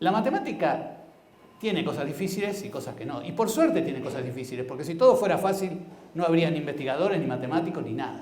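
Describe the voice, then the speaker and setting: A man talks very fast in a high voice with very wide pitch swings. Noticeable background noise and audible room echo are present. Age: 70s. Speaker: blind mathematics educator, symposium speaker. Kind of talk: conference talk. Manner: hesitant, with fillers.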